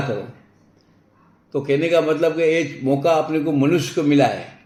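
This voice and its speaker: Audible room echo surrounds a man talking at a moderate pace. He has a fairly high pitch, fairly even intonation and a dark, mellow tone. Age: 80s+. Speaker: philanthropist. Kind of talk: interview. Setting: office.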